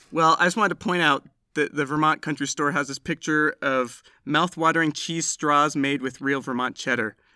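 Dry and close with no echo, a man's fairly high voice carries a bright, sharp tone at a moderate pace in a very clean recording with a silent background. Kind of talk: casual chat.

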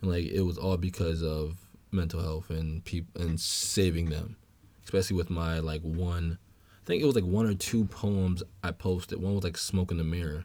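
With a very deep, low pitch and a dark, mellow tone, a man speaks at a moderate pace with fairly even intonation on a very clean recording with a silent background. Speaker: guest, mental health podcaster. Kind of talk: casual conversational interview. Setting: in person, studio.

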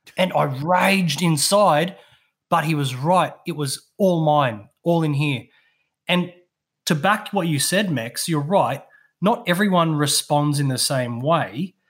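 Speaking very slowly, a man with an Australian accent uses a fairly high pitch and lively intonation on a very clean recording with a silent background. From southeast Queensland, Australia. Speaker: veteran and mental health speaker. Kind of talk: casual chat, storytelling. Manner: animated, jokey, swears often.

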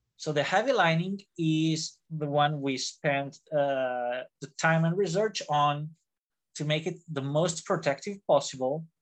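Someone speaks at a fairly slow pace in an Italian accent against a quiet background. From Italy. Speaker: fencing instructor and gauntlet designer. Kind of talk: interview. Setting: video call. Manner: animated.

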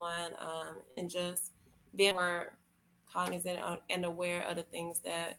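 A very slow, monotone, flat delivery in an American accent. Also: woman. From Florida. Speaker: model. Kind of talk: interview. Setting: remote call.

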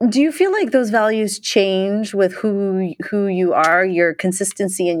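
On a very clean recording with a silent background, a woman with a normal speaking voice talks at a fairly slow pace and medium pitch with ordinary pitch variation. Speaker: podcast co-host. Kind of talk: interview.

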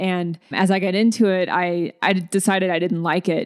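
This woman has an ordinary speaking voice at medium pitch, with an American accent. Her intonation is fairly even and her pace moderate. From US South, Alabama. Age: 40s. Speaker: singer-songwriter. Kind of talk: interview.

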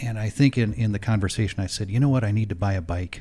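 A man speaks at a fairly low pitch in a dark, mellow tone. His voice is somewhat breathy. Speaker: podcast co-host. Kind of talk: casual chat. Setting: home studio.

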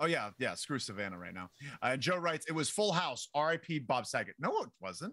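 Fairly high-pitched male voice with a bright, sharp tone, vocal fry, very wide pitch swings and a fairly quick pace. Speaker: wrestling podcast co-host. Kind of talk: casual chat. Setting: live stream with mic. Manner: quiet.

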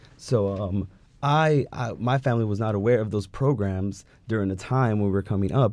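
A man speaks in an ordinary speaking voice, his pitch fairly low. His pitch rises and falls in the usual way against a quiet background. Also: moderate pace. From California. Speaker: law student. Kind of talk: interview.

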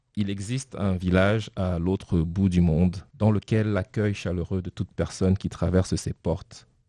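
A man talks in a monotone, flat intonation with a very deep, low pitch and a dark, mellow tone. The sound is dry and close with no echo, against a quiet background. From Cameroon. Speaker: poet. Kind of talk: reading aloud. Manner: halting.

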